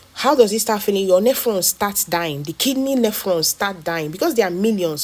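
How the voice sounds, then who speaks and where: Talking at a fairly quick pace, a woman comes through. Background noise is noticeable. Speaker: health educator. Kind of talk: health talk video. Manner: fast.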